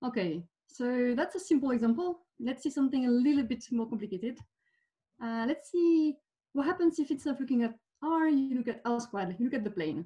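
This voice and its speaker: Against a quiet background, a woman talks at a very fast pace. Her tone is dark and mellow, and her intonation is lively. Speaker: speaker. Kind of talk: lecture. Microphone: webcam.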